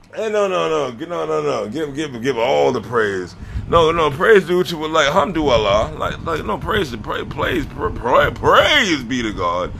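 Over noticeable background noise and audible room echo, a man speaks at a fairly slow pace in an animated tone. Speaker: social media creator. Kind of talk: casual vlog monologue. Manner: loud.

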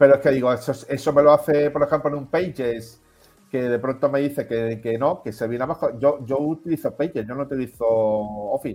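Moving at a fairly quick pace, a man talks in an unremarkable speaking voice with ordinary pitch variation. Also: fairly high pitch for a man. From Melilla, Spain. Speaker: self-employed tech enthusiast. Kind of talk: casual chat.

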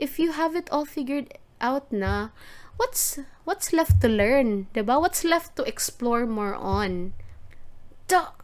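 With a Visayan Filipino accent, a woman speaks at a fairly slow pace in a high pitch, with very wide pitch swings. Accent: Filipino (Cebuano) English. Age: 30s. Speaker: podcast host. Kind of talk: solo casual podcast monologue. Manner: animated.

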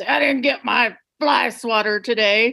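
Gruff and fairly slow, a woman does a put-on character voice at a fairly high pitch with fairly even intonation. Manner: gruff complaint.

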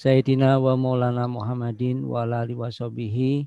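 The man has a dark, mellow tone and medium pitch. He speaks at a moderate pace with monotone, flat intonation. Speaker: head of university study program. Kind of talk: opening speech. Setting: video call. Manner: hesitant with many fillers.

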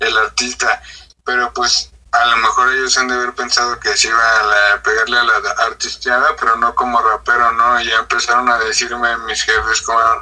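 The voice keeps a monotone, flat intonation at a moderate pace. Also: man, medium pitch for a man. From Mexico, Estado de México (Ixtapaluca). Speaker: independent trap artist. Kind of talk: casual interview.

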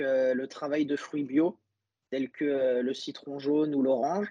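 A man at a fairly high pitch, with fairly even intonation and a fairly slow pace. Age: 20s. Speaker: pastry chef. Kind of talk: interview. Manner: halting.

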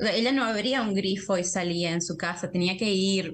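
Her voice is somewhat breathy. The woman's pitch varies in an ordinary way. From Argentina. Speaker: translator and graduate researcher. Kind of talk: interview conversation.

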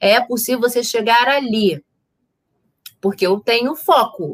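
A woman's lively intonation at a fairly slow pace. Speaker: psychologist and therapist. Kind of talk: casual chat. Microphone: audio not reaching YouTube, computer sound issue.

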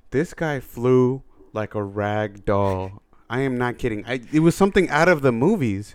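A man with a normal speaking voice of medium pitch talks at a moderate pace with lively intonation. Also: very clean recording, silent background. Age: 30s. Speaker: podcast co-host. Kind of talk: casual chat. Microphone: very close to the mic.

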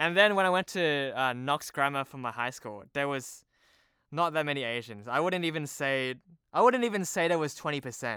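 With an Australian accent, a man speaks at a moderate pace in a fairly high pitch, using a bright, sharp tone and lively intonation. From Sydney, Australia. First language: Cantonese. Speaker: TV producer. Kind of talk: casual chat. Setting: remote recording.

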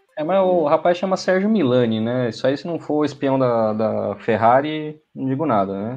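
In a normal speaking voice, a man talks at a moderate pace and medium pitch with lively intonation and hardly any pauses. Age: 30s. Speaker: motorsport co-host. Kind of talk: casual chat. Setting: online live stream. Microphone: unstable connection, dropped out.

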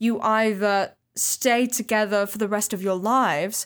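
Fairly high-pitched, a woman talks at a fairly slow pace with fairly even intonation. The recording is very clean, with a silent background. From northern England, Bolton. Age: 20s. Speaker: podcast co-host. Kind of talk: casual chat.

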